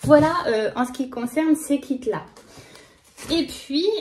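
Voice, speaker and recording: A woman speaks very slowly with lively intonation. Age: 30s. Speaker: knitting vlogger. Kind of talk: casual vlog chat. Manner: hesitant, many fillers.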